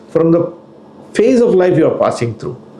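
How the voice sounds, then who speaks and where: The man talks fairly quickly while audible room echo and noticeable background noise surround him. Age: 60s. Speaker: financial planner. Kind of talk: educational talk.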